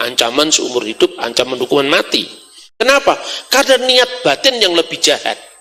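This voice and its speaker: In a Javanese accent, a man speaks in a raised, projected voice with very wide pitch swings. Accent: Javanese accent in Indonesian. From Java, Indonesia. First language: Javanese (speaking Indonesian). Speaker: religious scholar, speaker. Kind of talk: public lecture.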